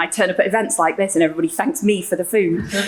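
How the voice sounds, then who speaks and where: A woman's voice over noticeable background noise. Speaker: social enterprise founder. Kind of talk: panel discussion. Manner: loud.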